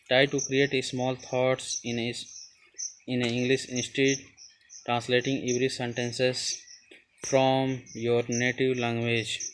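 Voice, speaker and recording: A man talks at a medium pitch and a very slow pace. His intonation is monotone and flat. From India, Uttar Pradesh. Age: young. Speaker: student / English-learning YouTuber. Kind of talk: tutorial. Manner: halting, hesitant with fillers and repetitions.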